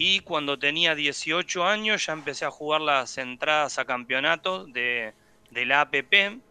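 A man speaks at a very slow pace with a bright, sharp tone and a fairly high pitch. His pitch varies in an ordinary way, and the sound is dry and close with no echo. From Argentina, Buenos Aires area (San Fernando). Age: 40s. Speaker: professional padel player and PE teacher. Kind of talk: radio interview.

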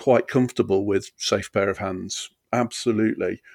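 A man with an East Midlands accent speaks at a fairly slow pace in a dry, close recording with no echo. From Derbyshire, England. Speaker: comedian and comedy promoter. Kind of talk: casual chat. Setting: video call.

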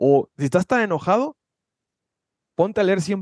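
The recording has a dry, close sound with no echo. A man talks at a moderate pace with a high pitch. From Mexico, Guadalajara, Jalisco. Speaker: personal development coach. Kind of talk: casual chat.

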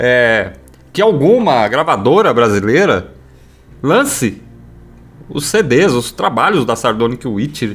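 Very wide pitch swings at a very slow pace, with music in the background. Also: man. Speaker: radio host. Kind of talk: casual chat.

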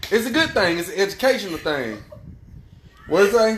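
Over music in the background, a man talks fairly quickly in an animated tone, his pitch swinging very widely. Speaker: live stream host. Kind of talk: casual banter, heated debate. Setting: live stream, video call with chat comments. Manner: animated, loud, profane.

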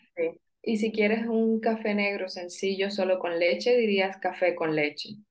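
In a plain, everyday voice, a woman talks at a fairly slow pace with medium pitch and fairly even intonation. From Colombian Caribbean coast (Sincelejo). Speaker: Colombian guest talking about her country. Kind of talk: interview.

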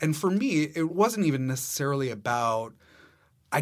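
A man with an American accent speaks at a moderate pace with lively intonation in an unremarkable speaking voice, on a very clean recording with a silent background. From Massachusetts, US. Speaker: theater director. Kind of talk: casual interview.

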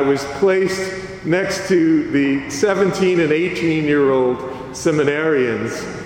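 A man with an American accent speaks at a fairly high pitch, with ordinary pitch variation. Audible room echo and noticeable background noise are present. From US South, south Louisiana (Acadiana). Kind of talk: homily. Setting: church.

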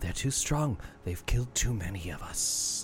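A man's put-on character voice, medium in pitch, at a moderate pace, with hissing and clear background noise.

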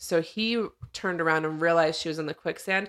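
An ordinary speaking voice, this woman has a fairly low pitch and fairly even intonation. She goes at a moderate pace on a very clean recording with a silent background. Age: 30s. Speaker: podcast co-host. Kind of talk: casual chat.

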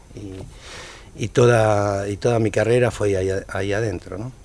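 A man speaks with a Rioplatense accent. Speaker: tango musician. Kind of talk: casual interview chat.

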